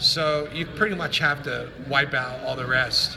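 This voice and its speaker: A man talks at a fairly high pitch. Room echo is audible, and there is noticeable background noise. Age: 60s. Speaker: online preacher / political commentator. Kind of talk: monologue video / political rant. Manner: casual, with frequent fillers.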